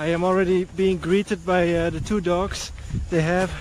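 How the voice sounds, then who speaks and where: The speaker has a Dutch accent and a fairly slow pace. Noticeable background noise is present. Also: man. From Netherlands. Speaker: travel vlogger. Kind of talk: casual vlog talk to camera. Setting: outdoors, cycling through town. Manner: hesitant, many fillers.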